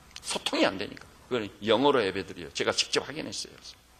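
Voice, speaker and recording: This man rattles off his words very fast while noticeable background noise carries on around him. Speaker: pastor. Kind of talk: sermon. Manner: animated.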